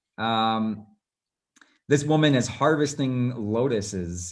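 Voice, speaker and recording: Audible room echo surrounds a man speaking very slowly with an American accent. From US West Coast, Los Angeles. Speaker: travel and portrait photographer. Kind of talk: presentation. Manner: casual, many fillers.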